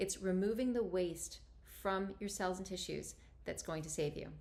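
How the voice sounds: A woman speaks at a moderate pace and a medium pitch. Her pitch varies in an ordinary way.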